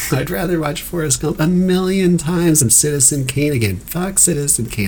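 The voice has lively intonation over noticeable background noise. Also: man. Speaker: podcast host and stand-up comedian. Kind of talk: casual chat.

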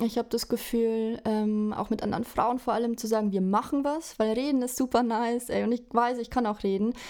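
A woman speaks at a fairly high pitch with a dark, mellow tone and monotone, flat intonation. Her pace is fairly quick, with hardly any pauses. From Bavaria, village near Regensburg. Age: 20s. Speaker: fashion photographer. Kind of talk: casual interview chat. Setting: remote call.

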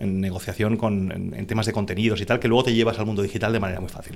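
Fairly low in pitch, the man talks with fairly even intonation. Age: 50s. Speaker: business executive and investor. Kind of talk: podcast interview.

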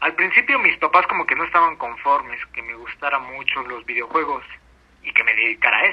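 The pace is fairly quick as a man talks. Noticeable background noise can be heard. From Mexico City. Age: 30s. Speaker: pro gamer. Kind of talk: interview.

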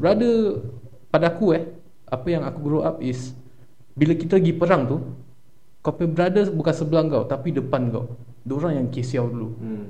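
Fairly high male voice with a dark, mellow tone, lively intonation, moderate pace and long, frequent pauses, in audible room echo. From Singapore, Tampines. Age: 20s. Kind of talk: casual chat.

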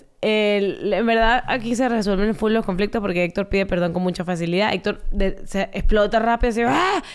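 With an unremarkable speaking voice at medium pitch, a woman talks at a moderate pace and very even loudness. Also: ordinary pitch variation. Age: 20s. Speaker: podcast co-host. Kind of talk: casual chat.

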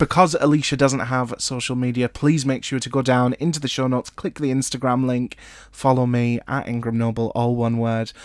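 In a Scottish accent, a man talks at a fairly quick pace with hardly any pauses. His intonation is fairly even, and the recording is very clean with a silent background. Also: medium pitch for a man. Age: 20s. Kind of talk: casual chat; scripted narration.

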